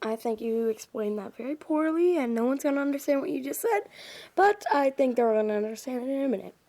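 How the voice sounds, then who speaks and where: Using a put-on character voice, a woman mumbles very fast in a high pitch with lively intonation. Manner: mumbling.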